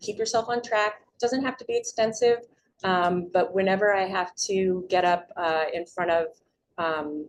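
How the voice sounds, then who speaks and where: A woman speaks at a fairly slow pace with medium pitch and ordinary pitch variation. It is an ordinary speaking voice. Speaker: public speaking teacher. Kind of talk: community presentation.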